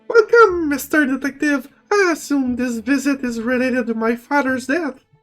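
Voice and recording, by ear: A put-on character voice from a man, at an extremely high pitch and moderate pace, with faint music in the background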